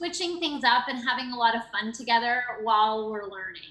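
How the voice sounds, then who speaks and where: A woman with a high pitch speaks at a moderate pace against noticeable background noise. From Canada. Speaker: education program coordinator, former teacher. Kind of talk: interview.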